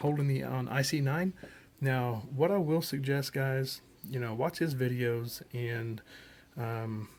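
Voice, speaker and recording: Soft-spoken and fairly slow, a man talks at medium pitch with ordinary pitch variation. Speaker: ham radio hobbyist. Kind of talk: tutorial. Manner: casual, hesitant with fillers.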